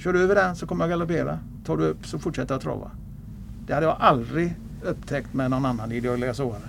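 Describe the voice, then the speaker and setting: A man's medium-pitched voice with very wide pitch swings at a very fast pace. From Gothenburg, western Sweden. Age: 70s. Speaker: retired harness racing trainer. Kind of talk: interview.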